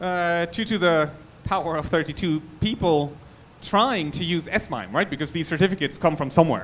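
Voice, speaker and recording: Delivered at a moderate pace, the speech comes in a German accent. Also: man. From Germany. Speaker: security researcher. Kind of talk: conference talk.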